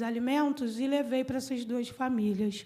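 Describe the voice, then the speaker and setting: Over noticeable background noise, a woman with a high-pitched voice speaks at a moderate pace in a flat monotone. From Brazil, Petrópolis (Rio de Janeiro state). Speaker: environmental activist and speaker. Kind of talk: conference talk. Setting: conference panel with audience.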